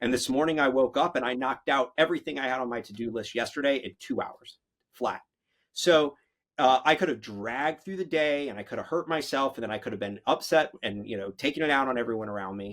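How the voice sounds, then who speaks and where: Energetic in tone, a man speaks at a very fast pace in a medium pitch. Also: ordinary pitch variation. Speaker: business owner. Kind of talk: podcast interview. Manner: loud.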